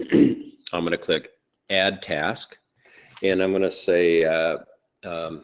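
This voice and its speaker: Pausing often and at length, a man speaks very slowly. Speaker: real estate trainer. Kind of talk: webinar tutorial. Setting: live webinar.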